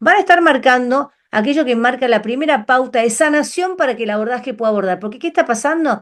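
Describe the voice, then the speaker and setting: Lively in intonation and high in pitch, a woman talks at a very fast pace. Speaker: numerology teacher. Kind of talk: online class lecture.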